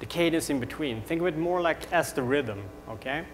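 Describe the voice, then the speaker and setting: A man with a Swedish accent speaks at a fairly high pitch. Noticeable background noise is present. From Sweden. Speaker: tech company co-founder. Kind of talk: product demo presentation. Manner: rambling, many fillers.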